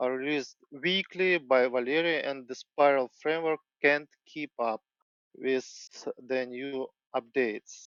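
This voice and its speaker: Speaking at a fairly slow pace, a man with a non-native accent has a fairly high pitch and fairly even intonation. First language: not English. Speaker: software developer. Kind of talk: tech presentation. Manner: halting.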